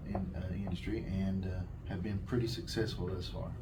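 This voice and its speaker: A man with an American accent, noticeable background noise and audible room echo. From southwest Virginia, Appalachia. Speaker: town economic development official. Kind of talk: interview.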